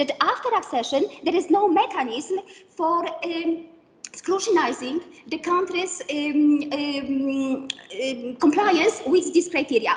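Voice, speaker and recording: With a Polish accent, a woman speaks very slowly at an extremely high pitch with lively intonation. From Poland, Kraków. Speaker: professor. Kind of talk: lecture. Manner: halting.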